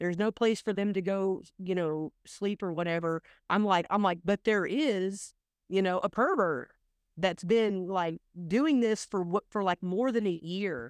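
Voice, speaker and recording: A woman with a plain, everyday voice speaks at a fairly slow pace and medium pitch, with ordinary pitch variation, a dry, close sound with no echo, and a quiet background. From Oklahoma. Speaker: energy investment expert. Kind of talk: casual interview.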